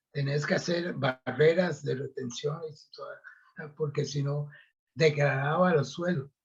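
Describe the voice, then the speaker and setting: A man's fairly high, somewhat breathy voice at a very slow pace, with fairly even intonation. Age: 70s. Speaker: retired agronomist. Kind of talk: interview. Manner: halting.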